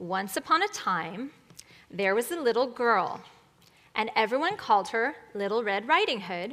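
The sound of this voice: Lively intonation in an unforced reading voice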